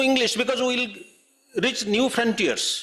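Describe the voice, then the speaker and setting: A man's extremely high-pitched voice, at a very slow pace, in an Odisha accent. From Odisha, India. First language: Odia. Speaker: writer. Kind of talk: panel talk.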